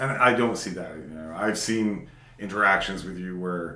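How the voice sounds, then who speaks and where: Loud and at a moderate pace, a man with a very deep, low voice and a bright, sharp tone speaks with fairly even intonation amid audible room echo. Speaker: podcast co-host. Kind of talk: casual chat.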